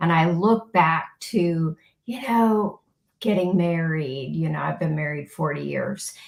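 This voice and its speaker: Here is an unremarkable speaking voice from a woman with an American accent. Her pitch is fairly low and her pace fairly slow. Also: ordinary pitch variation. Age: 60s. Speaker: podcast guest, former occupational therapist. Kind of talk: interview testimony.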